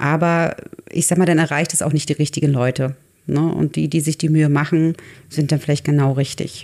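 A woman speaks at a fairly quick pace with a very deep, low pitch. Her intonation is monotone and flat, and her loudness stays very even. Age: 40s. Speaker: artist and photographer. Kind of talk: casual chat. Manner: halting.

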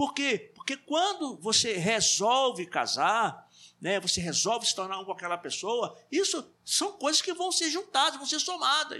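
In a raised, projected voice with a bright, sharp tone, a man speaks at an extremely high pitch with very wide pitch swings, at a fairly slow pace with hardly any pauses. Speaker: church teacher. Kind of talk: Bible class discussion. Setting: live stream.

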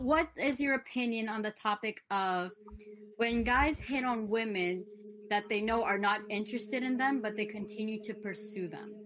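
With fairly even intonation and a moderate pace, the voice is an unremarkable speaking voice. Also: woman, fairly high pitch for a woman. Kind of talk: casual discussion. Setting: video call.

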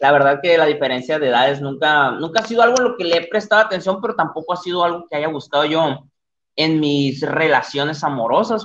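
At a fairly quick pace, a man with a fairly high pitch speaks in an animated tone with lively intonation. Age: 20s. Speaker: livestream podcast host. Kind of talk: casual livestream chat. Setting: live stream at computer.

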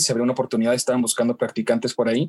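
This man is heard with a dry, close sound and no echo. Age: 20s. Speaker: radio news anchor and reporter. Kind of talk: interview.

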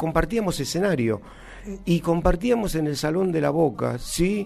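Here a man talks at a high pitch with lively intonation. His pace is fairly slow. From Argentina, Jujuy (Humahuaca). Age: 60s. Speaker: cumbia drummer. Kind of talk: interview. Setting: studio. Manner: halting.

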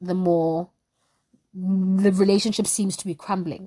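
At a fairly slow pace, a somewhat breathy voice speaks with monotone, flat intonation in a very clean recording with a silent background. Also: woman. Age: 20s. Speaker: podcast host. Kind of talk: solo monologue podcast.

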